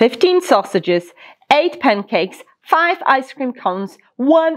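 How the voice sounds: Speaking at a slow pace, a woman uses big pitch swings.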